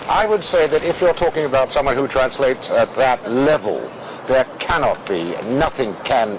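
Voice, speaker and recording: With a British accent, a man speaks at a moderate pace in a medium pitch, his pitch swinging very widely over noticeable background noise. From Russia. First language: Russian. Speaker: former interpreter. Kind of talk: interview. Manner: hesitant, many fillers and repetitions.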